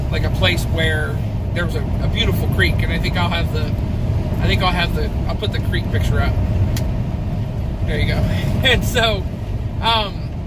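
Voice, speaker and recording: A man amid loud background noise, with long, frequent pauses. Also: moderate pace. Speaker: truck driver vlogger. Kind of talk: casual vlog chat. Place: car. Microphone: camera far.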